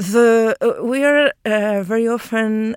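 Speaking very slowly with a Spanish accent and lively intonation, a woman is heard in a very clean, dry, close recording with no echo and a silent background. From Spain. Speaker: geography professor. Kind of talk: interview. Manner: halting, many fillers.

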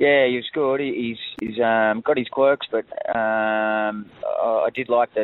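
Here a man speaks at medium pitch with monotone, flat intonation. His pace is very slow, broken by long, frequent pauses. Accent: Australian. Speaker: jockey. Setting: phone call.

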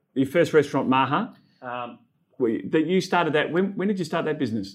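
A man with an Australian accent speaks with very wide pitch swings. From Australia, Melbourne. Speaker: podcast host, business owner. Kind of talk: casual interview.

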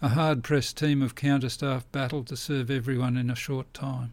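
A man with an Australian accent, medium-pitched and fairly even in intonation, at a moderate pace on a very clean recording with a silent background. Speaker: author and historian. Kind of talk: scripted narration.

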